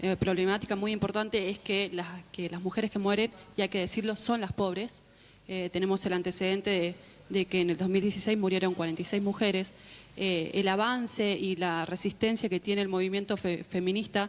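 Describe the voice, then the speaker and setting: Her medium-pitched voice stays monotone, the woman's intonation flat throughout. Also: moderate pace. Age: 20s. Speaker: community communicator and activist. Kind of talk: panel debate. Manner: hesitant, many fillers.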